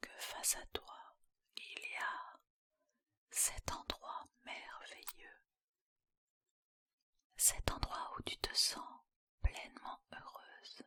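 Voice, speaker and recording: The voice whispers at a very slow pace. Long pauses come often. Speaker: hypnotherapist. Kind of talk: guided hypnosis session. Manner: whispered.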